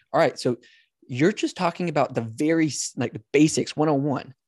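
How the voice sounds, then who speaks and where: A man with a plain, everyday voice at a fairly quick pace, fairly even intonation, a quiet background and a dry, close sound with no echo. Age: 30s. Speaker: podcast co-host. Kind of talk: casual chat. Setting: video call.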